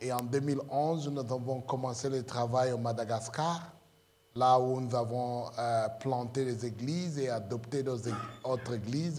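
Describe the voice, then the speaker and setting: Amid audible room echo, a man speaks very slowly in a medium pitch with fairly even intonation. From Congo. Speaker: pastor. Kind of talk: sermon. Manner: halting, many hesitations.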